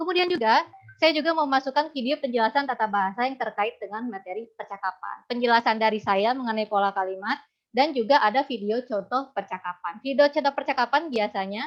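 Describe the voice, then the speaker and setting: Very fast and fairly high-pitched, a woman speaks with a slight Sundanese accent and ordinary pitch variation. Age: young. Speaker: university lecturer in Japanese. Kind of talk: webinar presentation. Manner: casual, with fillers.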